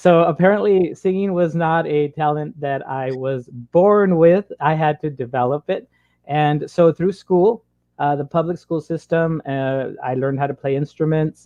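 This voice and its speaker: With an American accent, this man has a normal speaking voice, fairly high in pitch, at a moderate pace. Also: ordinary pitch variation. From US Southwest, Imperial Valley border town, California. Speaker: elementary school teacher and singer. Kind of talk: interview.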